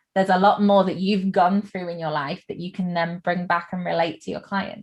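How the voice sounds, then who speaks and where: A woman speaks in a somewhat breathy voice. Her intonation is monotone and flat. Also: medium pitch for a woman, fairly quick pace. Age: 20s. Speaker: podcast host and wedding photographer. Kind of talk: podcast interview.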